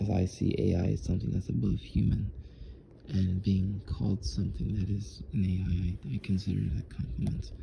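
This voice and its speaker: A man speaks quietly, very deep and low in pitch, with lively intonation and very even loudness. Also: fairly quick pace. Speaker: vlogger, customer service worker. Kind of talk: casual vlog monologue. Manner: quiet, low; halting, repetitive.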